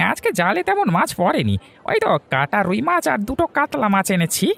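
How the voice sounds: In a cartoonish character voice with a fairly high pitch, the speaker talks at a moderate pace.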